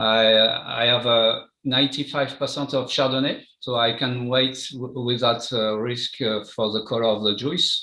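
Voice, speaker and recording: At a fairly slow pace, a man speaks with a French accent. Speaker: champagne winemaker. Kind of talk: interview. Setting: live stream. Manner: halting.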